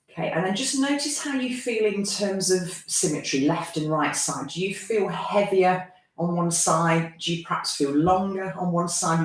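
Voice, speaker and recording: A woman's fairly low voice with lively intonation and a calm tone, at a moderate pace, with audible room echo. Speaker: yoga teacher. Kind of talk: live online yoga class instruction. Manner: calm, guiding.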